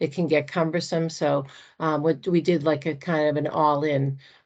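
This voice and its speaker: A woman with an American accent speaks in a normal speaking voice, pitched fairly low, at a moderate pace. The background is quiet. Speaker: state purchasing contracts presenter. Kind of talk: online meeting presentation.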